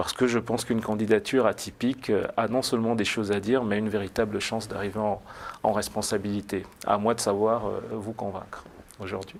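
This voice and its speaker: At a fairly quick pace, a man with a fairly low pitch speaks in monotone, flat intonation. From France, Blois. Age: 40s. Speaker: political candidate. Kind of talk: TV interview. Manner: hesitant, many fillers.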